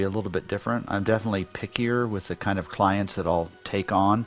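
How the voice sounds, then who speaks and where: There is noticeable background noise as a man talks at a fairly low pitch with fairly even intonation. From Central America, Mayan community abroad. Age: 60s. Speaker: business advisor and author. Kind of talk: casual interview conversation.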